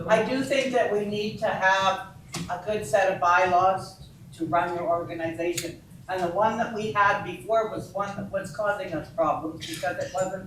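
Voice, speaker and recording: There is audible room echo and noticeable background noise. A woman talks at a medium pitch and moderate pace, with ordinary pitch variation. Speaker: society member. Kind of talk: meeting discussion. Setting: community hall meeting. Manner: loud.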